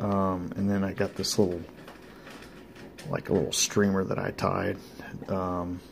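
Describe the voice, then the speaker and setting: A man's very deep, low voice in a flat monotone at a fairly slow pace, with light background noise. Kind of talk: casual show-and-tell chat. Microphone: phone near.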